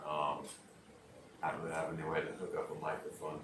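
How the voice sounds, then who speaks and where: A man speaks in a relaxed tone. The room echo is audible, and background noise is noticeable. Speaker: livestreamer building Lego. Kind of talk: casual livestream chat. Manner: relaxed, hesitant with fillers.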